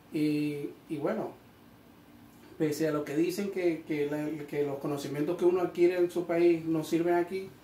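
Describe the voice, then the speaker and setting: Amid noticeable background noise and audible room echo, a man with a fairly high pitch talks at a fairly slow pace in a monotone, flat intonation. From Venezuela, Maracaibo (Zulia). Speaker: electrician and electricity course teacher. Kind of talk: interview. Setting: training venue.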